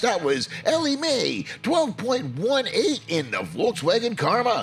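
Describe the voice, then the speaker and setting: With noticeable background noise behind him, a man talks at a fairly slow pace in an upbeat, energetic tone. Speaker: diecast racing commentator. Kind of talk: sports play-by-play commentary.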